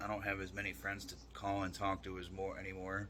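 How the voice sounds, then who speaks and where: A man with a fairly low pitch has a bright, sharp tone. Room echo is audible around him. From New York. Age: 30s. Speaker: fitness influencer. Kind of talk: casual vlog monologue. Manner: halting.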